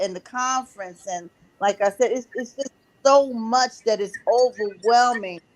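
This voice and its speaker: This woman has a plain, everyday voice with fairly high pitch and ordinary pitch variation. She talks at a moderate pace, and the sound is dry and close with no echo. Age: 60s. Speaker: book publisher. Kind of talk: panel interview.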